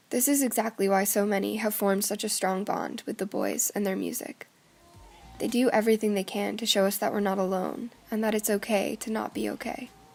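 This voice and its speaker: A woman's medium-pitched voice at a fairly quick pace with fairly even intonation, music in the background. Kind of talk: video essay narration.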